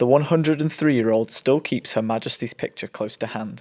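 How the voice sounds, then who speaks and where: On a very clean recording with a silent background, a man with a plain, everyday voice speaks at medium pitch and a moderate pace with ordinary pitch variation. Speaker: reporter. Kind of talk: local TV news voice-over.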